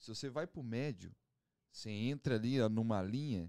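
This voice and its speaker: A man's dark, mellow tone at a fairly slow pace, with a dry, close sound and no echo. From Curitiba, southern Brazil. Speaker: pagode band musician. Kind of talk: casual chat.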